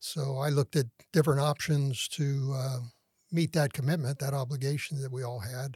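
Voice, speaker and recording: A somewhat breathy man with an American accent speaks at a moderate pace with fairly even intonation, the sound dry and close with no echo on a very clean recording with a silent background. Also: fairly high pitch for a man. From San Francisco Bay Area, California. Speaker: retired air force colonel. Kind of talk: interview.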